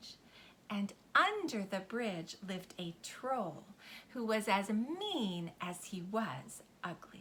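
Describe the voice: What we hear is plain reading aloud.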